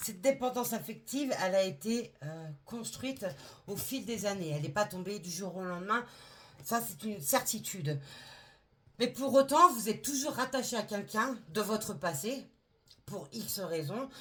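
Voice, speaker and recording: Her pitch is medium, but it swings very widely as the woman speaks. She goes at a fairly slow pace with long, frequent pauses. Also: big swings in loudness. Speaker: tarot reader. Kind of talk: tarot reading. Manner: halting.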